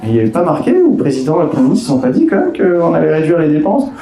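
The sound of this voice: In a dark, mellow tone, a man speaks with lively intonation amid audible room echo.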